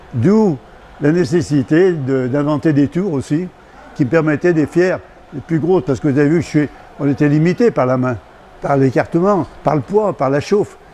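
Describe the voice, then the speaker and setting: A man talks at a moderate pace with a fairly high pitch and ordinary pitch variation. Noticeable background noise runs underneath. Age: 80s+. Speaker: retired glassblower. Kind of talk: interview, craft explanation.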